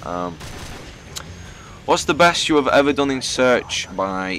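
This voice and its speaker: Over noticeable background noise, a man talks in a northern English accent. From northern England. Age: 20s. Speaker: gaming YouTuber. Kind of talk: casual Q&A commentary. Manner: casual, hesitant with fillers.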